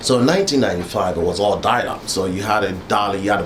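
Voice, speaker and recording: There is noticeable background noise and audible room echo as a man with a fairly low pitch speaks at a fairly quick pace. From Ghana, West Africa. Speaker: university alumnus. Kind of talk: oral history interview. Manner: halting, with many fillers.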